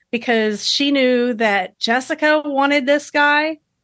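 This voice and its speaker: The speech moves at a very slow pace with fairly even intonation against a quiet background. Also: woman. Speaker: co-host guest. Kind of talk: casual chat.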